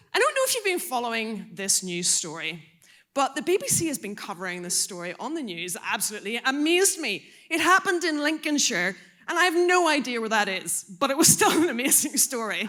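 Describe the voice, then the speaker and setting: A woman with an Irish accent projects a raised, high, bright and sharp voice at a fairly quick pace, her pitch swinging very widely. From Ireland. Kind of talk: talk to a youth audience. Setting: stage with audience. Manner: animated.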